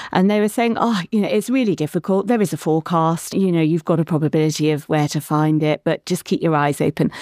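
A woman speaks very fast in a fairly low, dark, mellow voice, with hardly any pauses, ordinary pitch variation, and very even loudness. The sound is dry and close with no echo, on a very clean recording with a silent background. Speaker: marine scientist, professor. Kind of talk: casual interview chat. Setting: studio.

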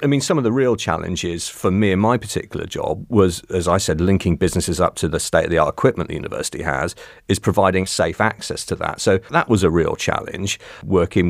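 A man with a West Country accent speaks at a fairly quick pace. His pitch is very deep and low. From Cornwall. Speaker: university business engagement manager. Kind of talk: interview conversation. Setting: studio.

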